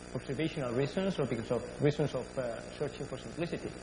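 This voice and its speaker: A man talks at a medium pitch. Audible room echo surrounds his voice. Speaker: astrophysicist. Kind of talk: lecture. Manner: fast.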